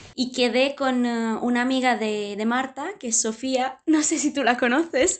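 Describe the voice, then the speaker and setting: With an Italian accent, a woman talks at a fairly slow pace in a high voice, using ordinary pitch variation and hardly any pauses. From southern Italy, Puglia. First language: Italian (speaking Spanish). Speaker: dating show participant. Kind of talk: casual chat. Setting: video call.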